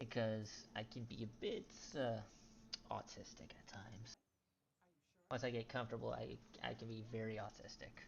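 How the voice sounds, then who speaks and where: Soft-spoken delivery at a moderate pace, broken by long, frequent pauses. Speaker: gaming youtuber. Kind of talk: gameplay commentary. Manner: halting. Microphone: poor quality, quiet mic.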